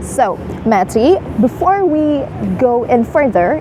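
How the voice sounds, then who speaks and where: A woman in an Indonesian accent speaks with high pitch and very wide pitch swings, with noticeable background noise. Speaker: student show host. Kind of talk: interview.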